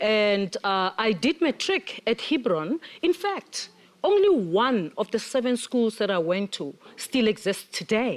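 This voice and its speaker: With very wide pitch swings, a woman speaks at a fairly high pitch. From South Africa. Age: 60s. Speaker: panel guest. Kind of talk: panel discussion.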